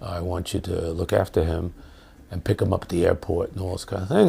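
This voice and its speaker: A man with a New York accent speaks in a very deep, low pitch, his tone dark and mellow and somewhat breathy. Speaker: professor. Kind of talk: interview storytelling. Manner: hesitant, many fillers and repetitions.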